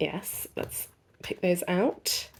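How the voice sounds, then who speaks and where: A woman speaks with an English accent. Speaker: unboxing youtuber. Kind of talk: casual product review.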